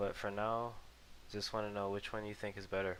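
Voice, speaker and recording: A soft-spoken man with a fairly low pitch. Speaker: gaming video creator. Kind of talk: casual gameplay commentary. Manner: hesitant, many ums and uhs. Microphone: cheap headset mic, picks up jaw noises.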